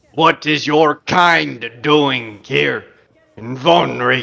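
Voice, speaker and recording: A man in a gruff, raspy put-on character voice at medium pitch speaks at a very slow pace. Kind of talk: gruff, stern.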